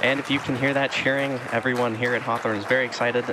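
Speech comes at a very fast pace in a monotone, flat intonation. Crowd noise fills the background, though the sound is dry with no echo. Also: man. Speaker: launch webcast host. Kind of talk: live commentary.

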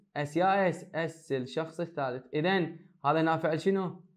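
There is audible room echo around a man whose pitch is fairly high. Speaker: high school English teacher. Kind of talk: lecture.

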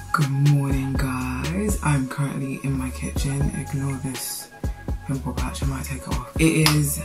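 A woman speaks at a fairly slow pace with clear music playing in the background. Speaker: vlogger. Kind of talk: casual vlog chat. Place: kitchen. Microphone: phone near.

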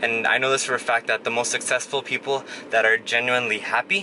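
A man speaks at a fairly quick pace with fairly even intonation. Noticeable background noise sits behind him. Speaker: vlogger. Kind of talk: casual vlog chat. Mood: calm, reflective, motivational. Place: car. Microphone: phone near.

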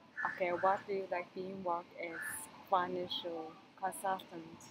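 Over noticeable background noise, someone talks at a fairly slow pace. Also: woman. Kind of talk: podcast host talk.

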